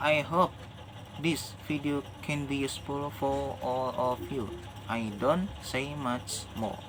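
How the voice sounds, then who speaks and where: A man with an Indonesian accent speaks at a very slow pace and a fairly high pitch. His pitch varies in an ordinary way. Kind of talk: religious reminder talk to camera. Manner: hesitant, non-fluent English.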